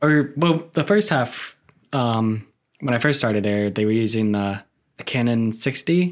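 A normal speaking voice from a man with an American accent, medium pitch, lively intonation and a moderate pace, on a very clean recording with a silent background. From Florida, West Palm Beach area. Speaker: filmmaker and video editor. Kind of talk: casual chat.

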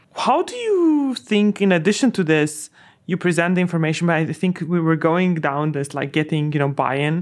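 With an unremarkable speaking voice, a woman talks at a moderate pace, fairly low in pitch with ordinary variation. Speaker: podcast host. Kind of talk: interview.

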